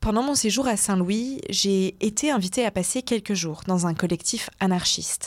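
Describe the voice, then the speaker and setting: In an ordinary speaking voice, a woman talks at a moderate pace with ordinary pitch variation on a very clean recording with a silent background. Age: 20s. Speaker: radio documentary host. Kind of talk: narrated radio documentary.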